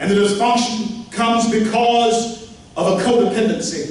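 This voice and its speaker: With a Southern US accent and a high pitch, a man talks at a very slow pace amid audible room echo and noticeable background noise. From Louisiana, Shreveport. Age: 60s. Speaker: pastor and political speaker. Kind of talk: political speech. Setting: meeting hall with audience. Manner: animated.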